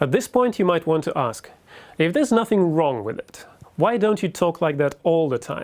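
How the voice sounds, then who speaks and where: This man has a high voice for a man, with very wide pitch swings. He talks at a moderate pace. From Russia. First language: Russian. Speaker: university lecturer. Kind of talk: lecture.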